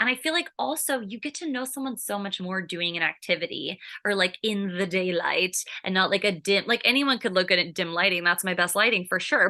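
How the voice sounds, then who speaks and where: Bright, sharp, and animated, a woman with an American accent at a medium pitch, lively intonation, and a fairly quick pace. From California. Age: 30s. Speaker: sobriety content creator. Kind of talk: podcast interview.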